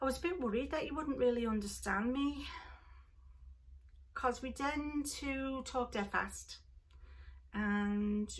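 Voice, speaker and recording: A woman puts on a sing-song character voice in a Liverpool accent. Her pitch is high and her pace fairly slow. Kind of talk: casual vlog chat. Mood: warm, friendly.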